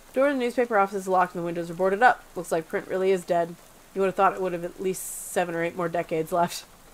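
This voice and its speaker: Very fast speech comes from a woman. Her pitch varies in an ordinary way. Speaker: let's play gamer. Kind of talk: casual let's play commentary with reading of game text. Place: home room. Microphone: headset.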